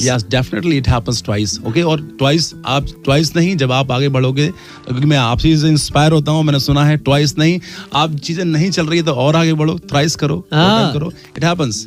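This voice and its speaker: With music in the background, a man with a fairly high voice speaks at a moderate pace, hardly any pauses, ordinary pitch variation and very even loudness. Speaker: motivational speaker, guest on radio show. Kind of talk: radio interview answer, motivational talk. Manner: warm, upbeat, friendly.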